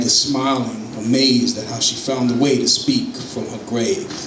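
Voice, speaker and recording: Noticeable background noise accompanies a man whose voice is medium in pitch. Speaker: spoken word poet. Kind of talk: live spoken word poetry performance. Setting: live stage.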